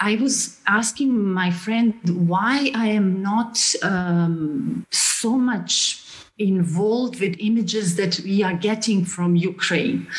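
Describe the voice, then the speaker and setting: Speaking in a Bosnian accent, a woman talks at a very slow pace and medium pitch, with ordinary pitch variation, very even loudness and hardly any pauses. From Bosnia, Sarajevo. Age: 40s. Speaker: film director. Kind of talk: panel discussion. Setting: video call.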